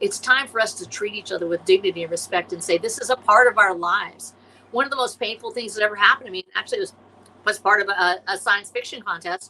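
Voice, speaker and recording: A woman talks at a very fast pace with a passionate tone, her voice medium in pitch with ordinary pitch variation. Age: 60s. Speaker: science fiction author and illustrator. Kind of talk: podcast interview.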